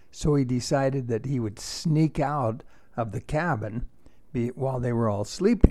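Speaking at a moderate pace, a man has a warm, dark, mellow tone, a medium pitch and ordinary pitch variation. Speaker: storyteller. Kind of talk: tall tale storytelling, told as a campfire yarn. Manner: animated, playful, with chuckles; warm, conversational, grandfatherly.

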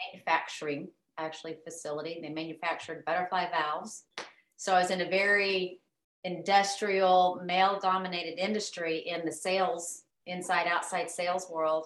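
Here a woman speaks in an American accent at a fairly low pitch. Her intonation is monotone and flat. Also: moderate pace. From Oklahoma, US. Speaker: life coach. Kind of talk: casual interview.

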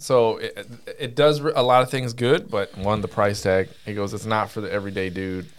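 This man has a plain, everyday voice at a medium pitch. He keeps a moderate pace with ordinary pitch variation. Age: 40s. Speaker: gaming podcast co-host. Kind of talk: casual chat.

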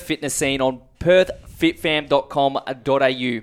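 With an Australian accent, a man talks using fairly even intonation. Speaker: podcast host. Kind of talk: casual interview.

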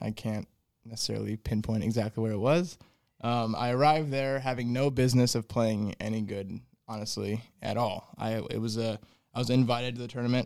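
An unremarkable speaking voice: a man with an American accent, medium pitch, fairly quick pace and fairly even intonation, on a very clean recording with a silent background. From Fort Wayne, Indiana. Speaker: golf instructor. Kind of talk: casual chat.

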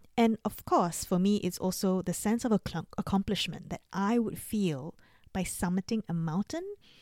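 A woman's medium-pitched voice with a dark, mellow tone at a moderate pace, dry and close with no echo. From Singapore. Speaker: life coach, podcast host. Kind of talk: solo podcast monologue. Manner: laughs often, casual.

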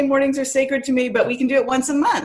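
Noticeable background noise surrounds this recording. A woman speaks in a high pitch with an American accent. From Canada, then Massachusetts from age 10. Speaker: PR agency owner and poet. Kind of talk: casual interview.

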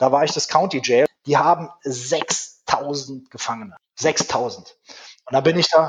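A man's fairly high pitch, a plain, everyday voice, a fairly slow pace and fairly even intonation. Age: 40s. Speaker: prison director. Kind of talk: interview.

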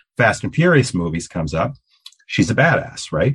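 At a fairly quick pace, a man talks in a somewhat breathy, medium-pitched voice with very wide pitch swings. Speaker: podcast host. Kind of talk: casual interview.

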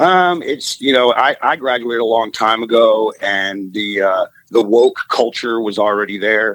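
A man's ordinary speaking voice, medium in pitch, at a fairly slow pace with ordinary pitch variation and hardly any pauses. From Maryland, US. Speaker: caller. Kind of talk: casual chat.

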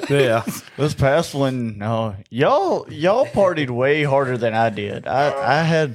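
With a Southern US accent, a man with a fairly high pitch speaks at a fairly slow pace and ordinary pitch variation. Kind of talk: casual chat.

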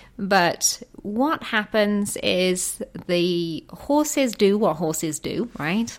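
A woman with an English Midlands accent, very slow in pace and lively in intonation. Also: medium pitch for a woman. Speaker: horse therapy program director. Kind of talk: interview. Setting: studio.

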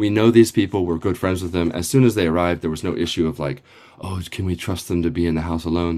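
Talking at a very fast pace, a man uses a very deep, low pitch with ordinary pitch variation. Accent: American. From US, Northern Virginia. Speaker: teacher. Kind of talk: interview. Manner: halting, many fillers.

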